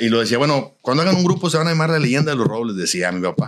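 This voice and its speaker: A man's pitch swings very widely, with little sound behind him. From Nuevo León, Mexico. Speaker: norteño musician; podcast guest. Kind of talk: casual interview chat. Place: studio. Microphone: studio mic.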